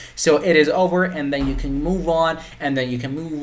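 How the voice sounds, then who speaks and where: A man talks at a fairly quick pace with fairly even intonation. Noticeable background noise and audible room echo are present. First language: Persian. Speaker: web development tutor. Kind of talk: tutorial. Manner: halting, many repetitions and fillers.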